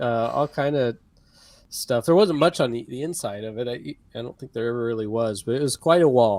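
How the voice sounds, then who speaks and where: Talking fairly quickly with a Kentucky accent, a man speaks at medium pitch with lively intonation. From US South, Kentucky (Appalachian foothills). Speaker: developer advocate / live stream co-host. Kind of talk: casual chat.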